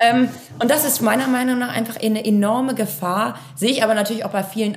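A woman speaks very fast at a medium pitch. The room echo is audible and background noise is noticeable. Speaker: managing director of a family software company. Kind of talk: interview.

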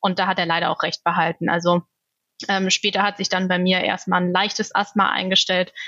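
The woman's medium-pitched voice holds a very even loudness. Her intonation stays monotone and flat. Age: 30s. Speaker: asthma patient. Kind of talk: interview.

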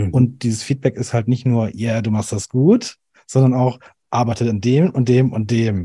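A man speaks at a medium pitch in a somewhat breathy voice with a dark, mellow tone. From Swabian Alb, Germany. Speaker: animation video designer. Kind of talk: casual interview. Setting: video call.

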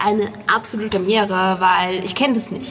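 A woman's monotone, flat delivery against noticeable background noise. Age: 30s. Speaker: prosthesis wearer, runner. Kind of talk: casual chat.

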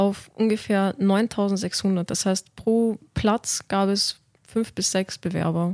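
A woman speaks at a very slow pace with monotone, flat intonation, the sound dry and close with no echo on a very clean recording with a silent background. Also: medium pitch for a woman. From Austria, Vienna. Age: 20s. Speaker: medical student. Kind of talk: podcast interview. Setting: studio.

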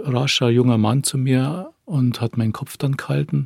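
Pitch varies in an ordinary way as the words come very slowly. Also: man. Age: 50s. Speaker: attack survivor. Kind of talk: testimony. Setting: studio.

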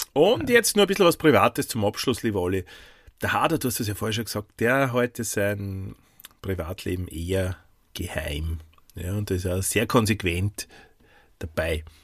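A man's fairly low, somewhat breathy voice with lively intonation and long, frequent pauses. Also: moderate pace. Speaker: podcast co-host. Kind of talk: casual chat.

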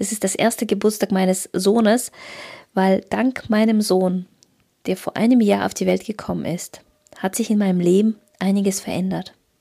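A woman at a medium pitch in a Russian accent, dark and mellow in tone, monotone and flat, at a moderate pace with long, frequent pauses. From Kazakhstan. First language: Russian (speaking German). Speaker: photographer and business coach. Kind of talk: solo podcast monologue.

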